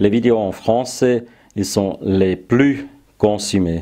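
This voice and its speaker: A man with a German accent, a dark, mellow tone, medium pitch, ordinary pitch variation and a very slow pace. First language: German (speaking French). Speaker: woodworking YouTuber. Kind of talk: casual vlog address. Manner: halting, frequent hesitations.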